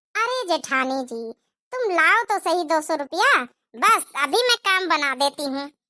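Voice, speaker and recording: In a squeaky, cartoonish character voice, a female-sounding speaker talks at a moderate pace and an extremely high pitch. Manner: lively, confident.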